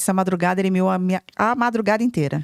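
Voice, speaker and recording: The delivery is animated and very fast, in a very clean, dry, close recording with a silent background and no echo. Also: woman. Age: 50s. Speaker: podcast co-host, entrepreneur and mentor. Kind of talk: casual podcast chat.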